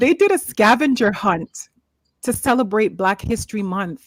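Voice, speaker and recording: Fairly high and somewhat breathy, a woman's voice moves through very wide pitch swings at a fairly slow pace. The sound is dry and close, with no echo. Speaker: talk show host. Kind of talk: panel discussion.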